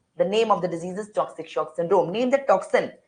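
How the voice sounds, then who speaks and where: A woman speaks at a medium pitch. She has an Indian accent. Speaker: medical lecturer. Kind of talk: online lecture. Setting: online class. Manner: fast.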